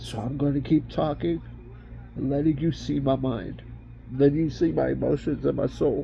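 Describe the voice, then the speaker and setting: A man speaks at a fairly slow pace. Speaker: estranged father. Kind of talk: personal video message.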